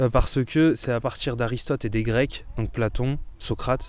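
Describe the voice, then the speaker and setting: The voice is male. It has a medium pitch. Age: 20s. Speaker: philosopher and mountain writer. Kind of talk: interview; lecture on a philosophy walk.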